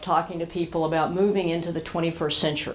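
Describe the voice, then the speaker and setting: A woman's fairly low voice with an American accent and audible room echo. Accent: Southern, held back during the day. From US South. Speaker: storyteller and business speaker. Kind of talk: talk to a small business audience. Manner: conversational.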